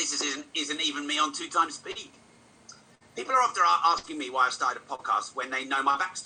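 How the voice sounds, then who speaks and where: Very rapid speech competes with noticeable noise in the background. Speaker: podcast host and business speaker. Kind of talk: motivational talk. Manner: fast; animated.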